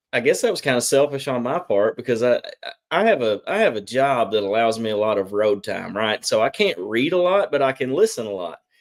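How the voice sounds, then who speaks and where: A man with a Southern US accent at a medium pitch, fairly quick and with lively intonation, in a very clean recording with a silent background. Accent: Southern twang. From US South, Arkansas. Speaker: theology YouTuber, guest. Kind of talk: casual interview chat.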